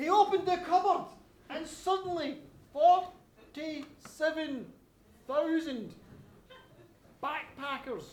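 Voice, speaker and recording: Using a dramatic tone, a man with a Glasgow accent talks very slowly at an extremely high pitch, with ordinary pitch variation and long, frequent pauses. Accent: Scottish (Glasgow). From Glasgow, Scotland. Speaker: storyteller and writer. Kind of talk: live storytelling performance. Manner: dramatic, lively.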